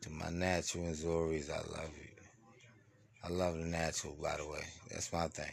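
Very deep and low, a man's voice holds a flat monotone at a moderate pace, broken by long, frequent pauses. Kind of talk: motivational monologue. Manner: slurring.

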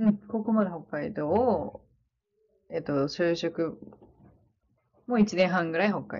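Long, frequent pauses in a woman's fairly slow speech, medium in pitch and with ordinary pitch variation. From Hokkaido, Sapporo. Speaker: nurse. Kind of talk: casual interview.

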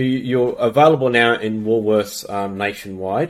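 This man has an Australian accent. His pitch sits in the medium range. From Australia, came from UK as small child. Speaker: podcast host. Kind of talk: interview.

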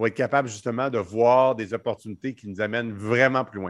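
Against a quiet background, a man speaks in a normal speaking voice at medium pitch with ordinary pitch variation. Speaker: entrepreneur. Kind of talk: casual chat.

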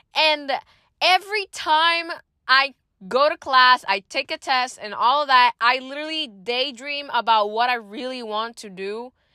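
A woman with a Spanish accent speaks in a raised, projected, animated voice at a high pitch and a fairly slow pace, her intonation lively. The recording is very clean, with a silent background and a dry, close sound with no echo. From Puerto Rico. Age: young (19). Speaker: university student podcaster. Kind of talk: casual personal monologue. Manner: code-switches into Spanish.

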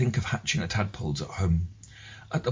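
The voice is somewhat breathy. It moves at a moderate pace with ordinary pitch variation. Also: man. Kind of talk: reading own written piece aloud.

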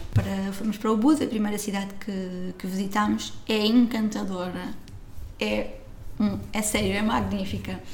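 Over noticeable background noise and audible room echo, a woman speaks at a moderate pace. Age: 30s. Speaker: travel blogger. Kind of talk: casual interview chat.

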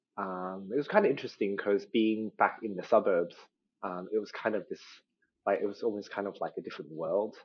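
A man with an Australian accent at a fairly quick pace. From Australia, Sydney. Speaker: guest. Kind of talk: casual chat. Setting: video call.

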